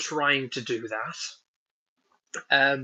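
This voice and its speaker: Speaking at a very slow pace, a man with a northern English accent has a bright, sharp tone and ordinary pitch variation. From northern England. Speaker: woodworking YouTuber. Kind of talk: live stream chat. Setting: at home, indoors, live stream. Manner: casual, hesitant with many ums.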